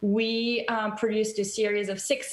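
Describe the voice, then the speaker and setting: A woman with a strong French accent talks at a fairly slow pace and a fairly high pitch. Noticeable background noise and audible room echo fill the recording. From France. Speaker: TV documentary director and producer. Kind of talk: interview on video call. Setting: video call.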